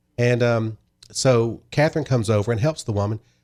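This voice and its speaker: A man's medium-pitched voice with a dark, mellow tone, in a very clean recording with a silent background. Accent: Southern US. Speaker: wine shop owner. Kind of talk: podcast interview answer. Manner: friendly.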